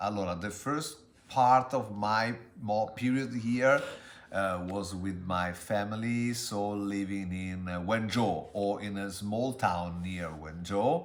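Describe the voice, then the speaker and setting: Audible room echo surrounds this very slow speech, delivered with an Italian accent and ordinary pitch variation. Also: man. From Italy. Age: 40s. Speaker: interviewee, language tutor. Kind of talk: interview. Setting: street interview. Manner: halting.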